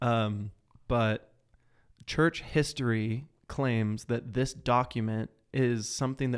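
The recording is very clean, with a silent background. A man speaks at a medium pitch with fairly even intonation. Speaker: podcast host. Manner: slow, pauses a lot between words; slow.

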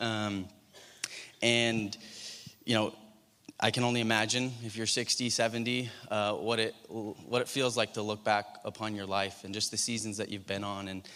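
Bright and sharp, a man's fairly low voice stays monotone and flat. He talks at a moderate pace with long, frequent pauses. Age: 30s. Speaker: preacher. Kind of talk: sermon.

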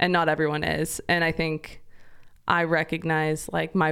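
An unremarkable speaking voice with an American accent, at a moderate pace. The recording is very clean, with a silent background. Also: woman. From US, Idaho (Eagle). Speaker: ministry executive director. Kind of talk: casual interview conversation.

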